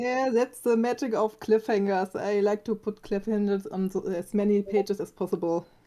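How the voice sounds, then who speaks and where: With a German accent and a dark, mellow tone, the speaker moves at a moderate pace with fairly even intonation and hardly any pauses. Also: woman, medium pitch for a woman. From Germany. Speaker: comic artist. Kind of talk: casual chat. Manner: halting.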